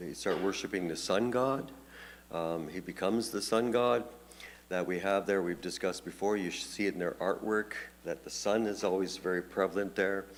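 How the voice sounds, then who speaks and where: Ordinary pitch variation marks this man's fairly low voice. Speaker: pastor. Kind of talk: Bible study teaching. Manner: fast; halting, many fillers and repetitions.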